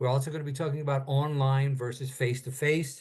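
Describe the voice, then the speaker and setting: Against a quiet background, a man speaks at a medium pitch in a somewhat breathy voice with fairly even intonation. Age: 70s. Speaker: author and critique group teacher. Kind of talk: casual instructional talk on video call. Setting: video call.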